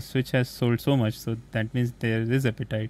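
Fairly quick and monotone, a man talks with flat intonation. He has an Indian accent and a medium-pitched voice. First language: Hindi. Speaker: podcast host. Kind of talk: casual interview.

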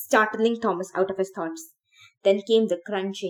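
An unforced reading voice with fairly even intonation, against a quiet background.

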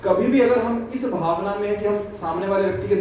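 A man talks in a high pitch amid noticeable background noise. Room echo is audible. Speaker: scripture teacher. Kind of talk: religious class on scripture. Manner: interactive, asks audience questions.

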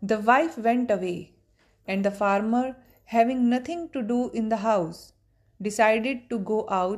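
In a natural voice, the text is read aloud.

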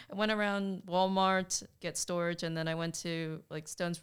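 This woman has an American accent and a fairly low pitch. She speaks at a moderate pace with monotone, flat intonation. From US South. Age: 20s. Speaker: graphic designer. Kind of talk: casual chat.

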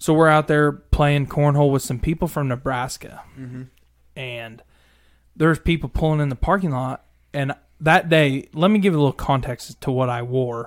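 With an American accent and a normal speaking voice, a man talks at a moderate pace, fairly high in pitch with ordinary pitch variation. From Missouri. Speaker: truck driver and social media creator. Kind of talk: casual chat.

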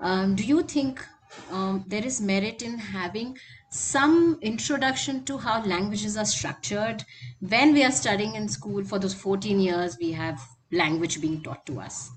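At a fairly slow pace, a woman with a medium pitch speaks with very wide pitch swings. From Lucknow, India. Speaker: podcast co-host, publisher. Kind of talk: interview.

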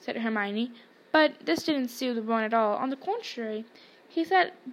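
The speaker reads in a natural reading voice.

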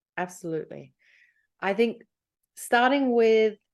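The background stays quiet. Her speech carries an Australian accent. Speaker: life coach. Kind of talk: interview.

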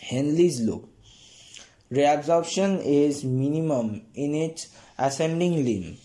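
At a very slow pace with long, frequent pauses, a man talks in a fairly high voice with a dark, mellow tone and ordinary pitch variation. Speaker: student study podcaster. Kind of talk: reading aloud textbook summary. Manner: halting with fillers.

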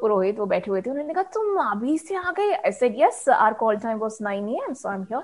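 Barely pausing, a woman speaks in a high pitch that swings very widely. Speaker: radio jockey. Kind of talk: casual interview chat.

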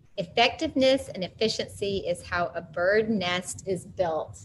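A woman with an unremarkable speaking voice speaks at a fairly slow pace and medium pitch, with ordinary pitch variation. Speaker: session moderator. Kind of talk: casual closing remarks. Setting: online group session.

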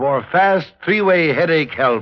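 The pace is slow. The intonation is lively. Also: man.

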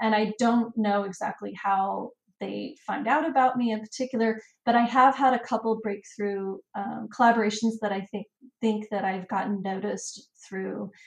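At a moderate pace, a woman with a fairly high pitch and fairly even intonation speaks in a plain, everyday voice. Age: 40s. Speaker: travel and family blogger. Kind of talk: interview.

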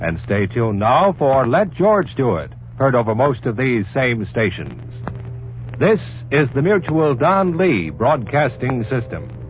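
Very wide pitch swings at a fairly slow pace, with music in the background. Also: man, medium pitch for a man. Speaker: radio announcer. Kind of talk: old-time radio announcements, credits and promos. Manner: formal, crisp.

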